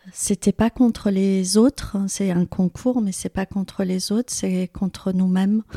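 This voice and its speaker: A woman speaks very slowly at a medium pitch, her tone dark and mellow and her intonation flat and monotone. The recording is very clean with a silent background, and the sound is dry and close with no echo. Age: 50s. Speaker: business founder. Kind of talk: interview. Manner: hesitant, many fillers.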